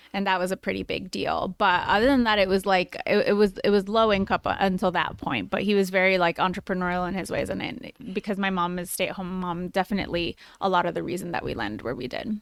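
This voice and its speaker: Someone with a Spanish accent speaks at a very fast pace with vocal fry. The recording is very clean, with a silent background. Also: woman, medium pitch for a woman, ordinary pitch variation, hardly any pauses, dry, close sound with no echo. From Chicago, Northwest Side (Hermosa). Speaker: founder of a personal finance brand. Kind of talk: casual interview.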